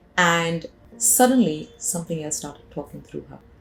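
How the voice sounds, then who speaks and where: Music plays in the background while the speaker moves at a moderate pace. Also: woman. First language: not English. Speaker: hypnotherapist and spiritual healer. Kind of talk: storytelling monologue. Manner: halting, with fillers.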